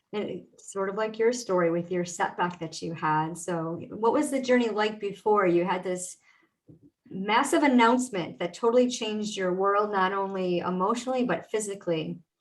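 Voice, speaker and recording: A woman speaks in a normal speaking voice. Her pitch is medium and her pace moderate. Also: ordinary pitch variation. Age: 50s. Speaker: podcast host and mindset coach. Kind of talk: podcast interview. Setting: live video stream.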